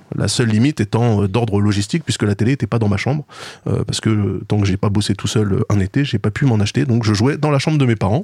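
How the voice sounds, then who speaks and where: Delivered at a very fast pace with lively intonation, the speech has a dry, close sound with no echo. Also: man, very clean recording, silent background. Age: 40s. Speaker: video game podcast co-host. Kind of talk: casual chat.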